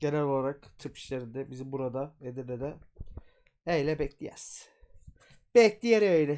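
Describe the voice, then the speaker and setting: A man's animated, fairly high voice at a fairly slow pace, with lively intonation and big swings in loudness. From Turkey. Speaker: YouTube storyteller and folklore streamer; YouTube storyteller, folklore streamer. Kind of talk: casual live stream chat with reading aloud; casual livestream talk about a book. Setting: live stream from home. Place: home room. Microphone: earbuds.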